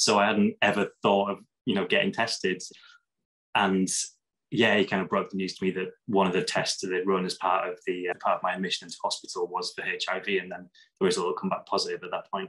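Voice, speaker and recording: Over a quiet background, a man talks fairly quickly with a northern English accent. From northern England, Lake District; northern England. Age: 30s. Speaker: HIV advocate and vlogger; vlogger. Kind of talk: interview testimony. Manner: halting, many fillers. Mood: reflective, personal. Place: home room. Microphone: webcam.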